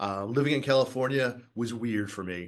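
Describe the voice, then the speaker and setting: A man with an American accent talks at a moderate pace in a medium pitch, his intonation lively. It is an unremarkable speaking voice, set against a quiet background. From Boston, US Northeast. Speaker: wine educator and winemaker. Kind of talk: podcast interview. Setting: wine school.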